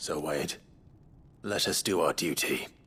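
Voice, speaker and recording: Putting on a character voice, a man speaks at a fairly slow pace, raspy and very deep and low. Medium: video game.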